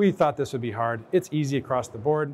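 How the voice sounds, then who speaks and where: At a fairly quick pace, a man talks in a fairly high pitch. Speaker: operations director presenting a case study. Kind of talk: conference presentation. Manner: fast.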